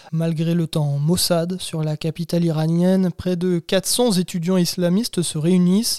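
Dark and mellow in tone, a man with a high pitch speaks at a fairly slow pace with fairly even intonation and hardly any pauses, in a dry, close sound with no echo. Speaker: podcast narrator. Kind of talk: history documentary narration, scripted and read aloud. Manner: measured, steady storyteller pace.

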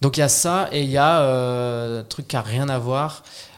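A man talks at a fairly slow pace and a medium pitch, his intonation fairly even. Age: 30s. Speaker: actor. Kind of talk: casual chat. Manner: halting.

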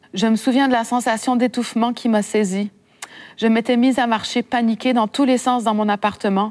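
This woman has an ordinary speaking voice. Her pitch is fairly high and her intonation fairly even. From Quebec, Saguenay. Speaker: author. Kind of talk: reading aloud. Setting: library event with audience.

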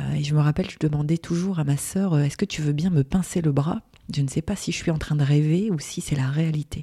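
A woman's very deep, low voice, dark and mellow in tone, somewhat breathy, at a fairly quick pace. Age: 40s. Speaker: graphic designer and business owner. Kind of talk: interview. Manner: hesitant, many fillers.

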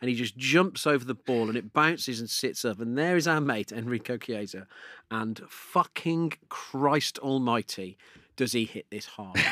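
In a very clean recording with a silent background and a dry, close sound with no echo, a man with an English accent speaks at a moderate pace and medium pitch with ordinary pitch variation. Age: 40s. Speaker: podcast host. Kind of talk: casual chat. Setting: studio.

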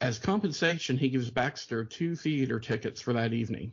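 A man's somewhat breathy, medium-pitched voice at a fairly quick pace with ordinary pitch variation. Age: 40s. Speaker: film podcast host. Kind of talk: reading aloud; casual chat.

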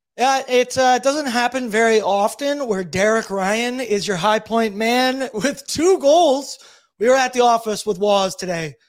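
With music in the background, a man speaks at a fairly slow pace with an extremely high pitch. His tone is animated, with ordinary pitch variation. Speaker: hockey podcast host. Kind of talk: casual sports talk show recap. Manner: animated, casual.

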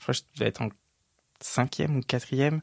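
Dry and close with no echo, a man's medium-pitched voice moves at a fairly quick pace in monotone, flat intonation. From Île-de-France, rural village north of Cergy. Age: 30s. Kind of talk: casual chat.

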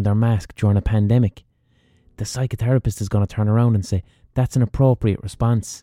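A man with an Irish accent speaks in an animated tone, captured with a dry, close sound and no echo. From Ireland. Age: 30s. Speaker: podcast host. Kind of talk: solo monologue.

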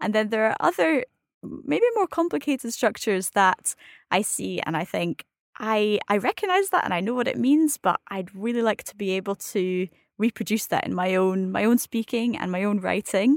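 With a Scottish accent, a woman speaks at a moderate pace. Her pitch is fairly high and her intonation lively. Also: dry, close sound with no echo, very clean recording, silent background. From Scotland. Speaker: advanced French learner. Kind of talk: casual educational chat.

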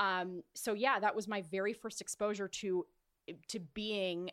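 An unremarkable speaking voice with an American accent at a fairly slow pace, in a dry, close sound with no echo. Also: woman. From California, Orange County. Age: 30s. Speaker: events and live broadcast producer. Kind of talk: casual interview.

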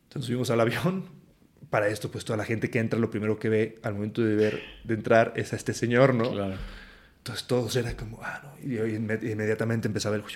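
In a central Mexican accent, a man talks at a very fast pace with fairly even intonation. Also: medium pitch for a man. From Mexico, Aguascalientes. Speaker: actor and singer. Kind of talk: casual chat.

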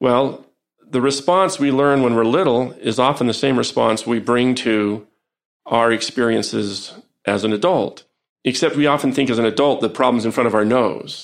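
This man has an ordinary speaking voice, medium in pitch with ordinary pitch variation, very even loudness and a moderate pace. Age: 50s. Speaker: psychologist and professor. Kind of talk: interview conversation. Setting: in an office.

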